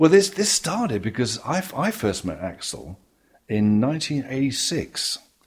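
On a very clean recording with a silent background, a man with an English accent talks at a very slow pace and medium pitch, his voice showing vocal fry and very wide pitch swings. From England. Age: 70s. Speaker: jazz bassist. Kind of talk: interview.

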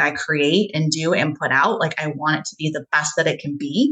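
Her tone is bright and sharp. The woman keeps a moderate pace. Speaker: coach, speaker and author. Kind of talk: casual interview chat.

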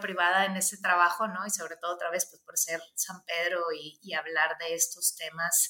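With a northern Mexican accent, a woman talks at a fairly slow pace. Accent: northern Mexican (provincial). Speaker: human rights consultant. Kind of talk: interview conversation. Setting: video call from office. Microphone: slight echo.

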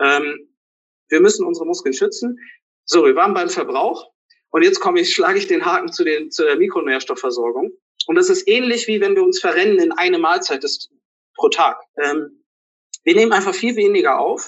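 A man speaks at an extremely high pitch with very wide pitch swings. His pace is moderate, broken by long, frequent pauses. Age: 30s. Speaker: physician and fasting coach. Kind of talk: interview. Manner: hesitant with many fillers.

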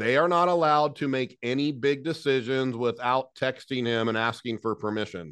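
Against a quiet background, an energetic voice with an American accent moves at a moderate pace with hardly any pauses and ordinary pitch variation. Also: man, medium pitch for a man. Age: 40s. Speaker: HVAC business owner and business coach. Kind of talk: interview.

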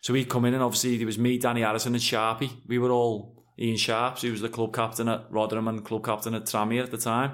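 With a Liverpool accent, a man talks at a very fast pace with hardly any pauses. His medium pitch stays in a monotone, flat intonation. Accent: Scouse. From Liverpool, Anfield. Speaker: professional footballer. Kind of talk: casual chat.

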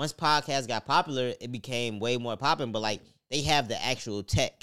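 On a very clean recording with a silent background, a man speaks in an ordinary speaking voice at medium pitch. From Chicago. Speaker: podcast co-host. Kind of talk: casual chat.

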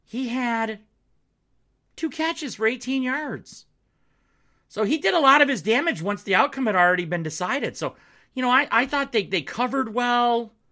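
Projecting loudly in an American accent, a man with an extremely high pitch and a bright, sharp tone sounds animated, with lively intonation, a moderate pace and long, frequent pauses. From Upper Peninsula of Michigan, Marquette. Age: 40s. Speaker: sports podcast host. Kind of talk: sports podcast monologue. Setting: home studio.

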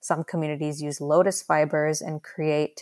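Very deep and low for a woman, her voice stays monotone and flat at a moderate pace. The recording is very clean with a silent background and a dry, close sound with no echo. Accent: American. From Dallas, Texas, then India. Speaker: sustainability advocate and fashion brand founder. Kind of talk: interview.

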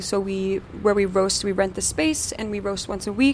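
Over noticeable background noise, a woman talks at a fairly quick pace. Her pitch is medium and her intonation fairly even. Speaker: coffee company co-founder. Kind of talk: live panel interview. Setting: stage with live audience.

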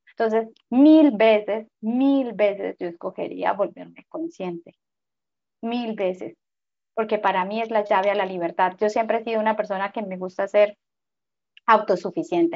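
Fairly high in pitch, a woman with an unremarkable speaking voice talks at a moderate pace. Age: 40s. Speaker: spiritual guide. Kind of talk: interview.

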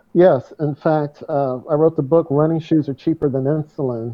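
A man talks at a fairly quick pace in a plain, everyday voice, fairly high in pitch and with fairly even intonation. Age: 60s. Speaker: runner and author. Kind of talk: interview conversation.

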